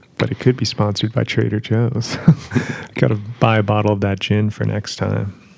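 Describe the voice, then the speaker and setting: Against noticeable background noise, a man with a fairly low voice speaks at a fairly quick pace with fairly even intonation. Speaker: podcast host. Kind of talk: casual chat. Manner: low energy.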